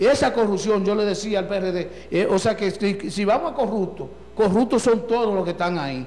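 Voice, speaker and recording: A man speaks in a Dominican accent at a moderate pace. His pitch is high for a man. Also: ordinary pitch variation. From Dominican Republic. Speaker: local party leader. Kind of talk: political interview. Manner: animated. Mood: indignant political criticism. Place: studio. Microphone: handheld.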